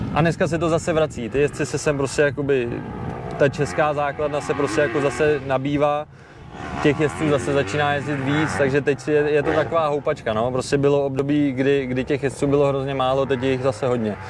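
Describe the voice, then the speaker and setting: A man with a fairly high voice for a man talks at a fairly quick pace, keeping his loudness very even and his intonation fairly even, amid noticeable background noise. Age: 20s. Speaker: ATV racer. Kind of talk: interview. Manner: halting, with repetitions.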